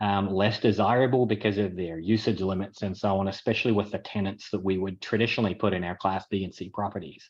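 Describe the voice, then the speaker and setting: A very fast, flat monotone from a man with a New Zealand accent, fairly low in pitch, with hardly any pauses. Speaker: apartment investor and tech entrepreneur. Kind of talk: webinar presentation.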